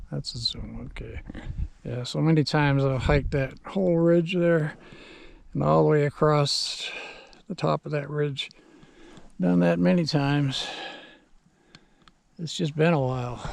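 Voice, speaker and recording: A man with a fairly high voice speaks at a fairly slow pace, relaxed in tone but lively in intonation. Long, frequent pauses break up his speech over noticeable background noise. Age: 70s. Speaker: vlogger. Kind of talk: casual vlog monologue. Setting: outdoors on horseback. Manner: relaxed, unhurried.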